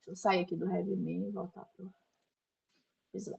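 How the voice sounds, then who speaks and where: There's vocal fry in this voice. It belongs to a woman. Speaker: lecturer on systematic reviews. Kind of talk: lecture.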